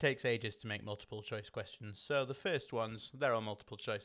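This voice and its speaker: An unremarkable speaking voice from a man at medium pitch. His pitch varies in an ordinary way, recorded very cleanly over a silent background. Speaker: online quiz host. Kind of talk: live-streamed quiz hosting. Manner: casual, relaxed.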